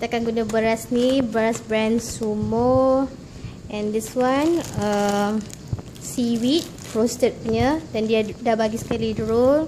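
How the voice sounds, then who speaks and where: A woman's very slow speech with fairly even intonation over noticeable background noise. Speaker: home cooking vlogger. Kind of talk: casual vlog chat. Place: kitchen.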